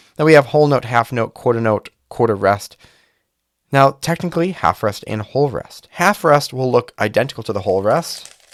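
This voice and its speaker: A man at medium pitch talks at a moderate pace with lively intonation, the sound dry and close with no echo. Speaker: cube reviewer and music teacher. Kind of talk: casual product review while solving. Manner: casual, thinking aloud.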